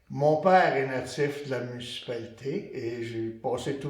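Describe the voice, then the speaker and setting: A man speaks at a medium pitch with fairly even intonation. Audible room echo fills the recording. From Quebec, Montreal. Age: 70s. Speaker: retired resident. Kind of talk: group interview.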